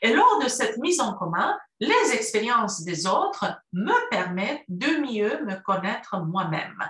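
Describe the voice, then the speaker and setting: Very slowly and with very wide pitch swings, a woman speaks against a quiet background with audible room echo. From Romania, Cluj (Transylvania). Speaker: university professor. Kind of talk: prepared talk for a university course. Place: home room. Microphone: webcam.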